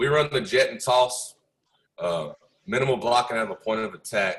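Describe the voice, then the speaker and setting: A man with a plain, everyday voice at medium pitch, moderate pace and lively intonation. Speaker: football coach. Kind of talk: coaching clinic presentation. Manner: casual with frequent fillers.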